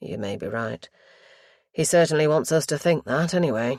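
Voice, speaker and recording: A man's raspy, put-on character voice, fairly high in pitch, with lively intonation and a moderate pace, in a very clean recording with a silent background and a dry, close sound with no echo. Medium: read story. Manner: measured, formal, gently probing.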